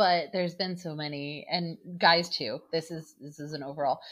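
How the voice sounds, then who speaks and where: Fairly slow delivery in an unremarkable speaking voice. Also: woman. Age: 30s. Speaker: podcast host. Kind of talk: casual chat.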